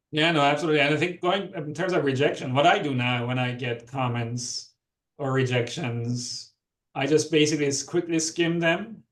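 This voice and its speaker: A man with a non-native accent, a fairly high pitch, ordinary pitch variation and a moderate pace. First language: not English. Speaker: physician researcher, lecture speaker. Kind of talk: Q&A discussion after lecture.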